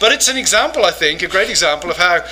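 A high-pitched man with an English accent, amid noticeable background noise. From England. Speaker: professor and pastor. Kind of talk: lecture. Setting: church conference with audience.

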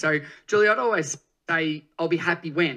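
A man with an Australian accent talks at a very fast pace. His voice is fairly high and has a bright, sharp tone. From rural Australia. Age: 30s. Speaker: fitness educator and speaker. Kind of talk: podcast interview. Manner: energetic.

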